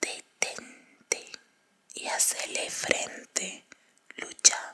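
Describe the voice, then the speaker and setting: Noticeable background noise accompanies a whispering speaker. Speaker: ASMR audiobook reader. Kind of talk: horror audiobook reading. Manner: whispered.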